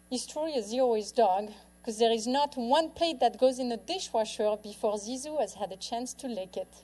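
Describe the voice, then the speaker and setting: A woman's fairly high-pitched voice with a French accent, dark, mellow in tone, at a fairly quick pace. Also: ordinary pitch variation. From France. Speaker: author and lifestyle speaker. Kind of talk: public talk. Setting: stage with audience.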